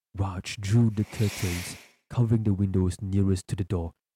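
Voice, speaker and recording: A man talks at a moderate pace in a fairly low pitch, his tone dark and mellow and somewhat breathy. The sound is dry and close with no echo, on a very clean recording with a silent background. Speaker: podcast host and storyteller. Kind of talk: horror story narration, read aloud as spooky tale. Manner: building suspense, tense and hushed narration.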